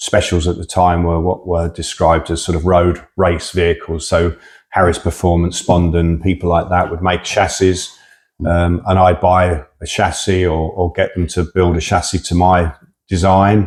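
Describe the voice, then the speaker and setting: In a very clean recording with a silent background, a man with a southern English accent speaks at a moderate pace in a very deep, low pitch and a monotone, flat intonation. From England, Hertfordshire. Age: 60s. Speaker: drag racer. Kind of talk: interview. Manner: casual, hesitant with fillers.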